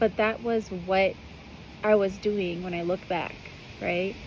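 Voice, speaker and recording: A soft-spoken woman with an American accent and medium pitch, at a fairly slow pace over noticeable background noise. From US. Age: 30s. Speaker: spiritual mothering guide. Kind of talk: personal monologue. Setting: outdoors on a balcony.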